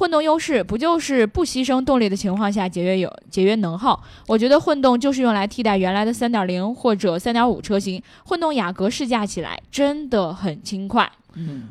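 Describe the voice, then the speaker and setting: A woman speaks in an animated tone at a fairly high pitch. Her pace is moderate. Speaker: car podcast co-host. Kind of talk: casual chat about cars. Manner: joking, animated.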